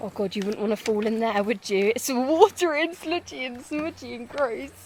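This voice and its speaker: Against noticeable background noise, a woman with a high pitch speaks at a moderate pace, her voice making very wide pitch swings. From northern England. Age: 20s. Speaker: travel vlogger. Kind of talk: casual vlog chat. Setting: outdoors. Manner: animated.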